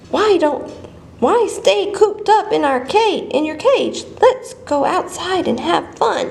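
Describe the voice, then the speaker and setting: A woman uses a put-on character voice at an extremely high pitch. Light background noise is present. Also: fairly slow pace. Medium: read story.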